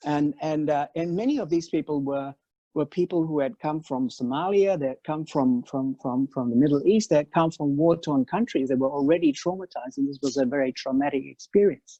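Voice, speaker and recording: The speech runs at a fairly quick pace with hardly any pauses over a quiet background. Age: 60s. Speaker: panel speaker. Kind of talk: web talk panel. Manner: halting, many repeated words.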